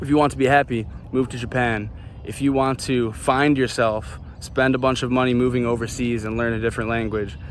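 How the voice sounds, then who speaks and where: With a Chicago accent, a man talks at a fairly quick pace in a medium-pitched voice. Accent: Chicago American English. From US Midwest, Chicago. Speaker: vlogger. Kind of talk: casual monologue vlog. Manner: animated.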